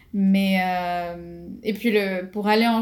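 A woman talks at a medium pitch, her pitch varying in an ordinary way. The recording is very clean and the background silent. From Morocco. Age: 20s. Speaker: aerospace engineer. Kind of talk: interview. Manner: halting.

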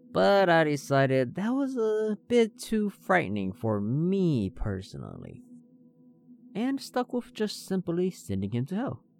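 With music in the background, a man speaks with an American accent at a fairly slow pace, high in pitch with very wide pitch swings. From Hmong American. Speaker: storytelling podcaster. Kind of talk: scripted narration. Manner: theatrical persona.

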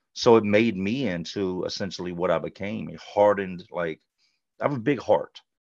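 A man speaks at a moderate pace with big swings in loudness. The background is quiet. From US South, Charlotte, North Carolina. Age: 40s. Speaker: former offender sharing life story. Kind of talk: interview testimony.

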